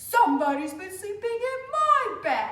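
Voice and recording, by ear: An extremely high-pitched put-on character voice speaks at a moderate pace with a slight echo.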